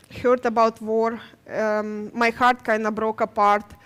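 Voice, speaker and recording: A woman speaks with a Ukrainian accent. Her intonation is monotone and flat. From Ukraine. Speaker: nurse. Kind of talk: testimony. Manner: halting.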